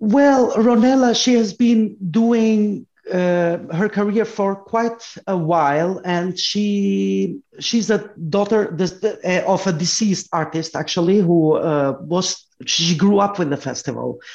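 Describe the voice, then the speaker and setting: The speech goes at a very slow pace with ordinary pitch variation. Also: woman, medium pitch for a woman. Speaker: music festival commentator. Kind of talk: interview.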